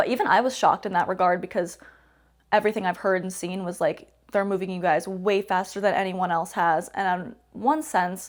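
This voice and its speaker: Fairly even intonation in a normal speaking voice, delivered at a fairly quick pace. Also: woman. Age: 20s. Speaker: professional wrestler. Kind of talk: interview.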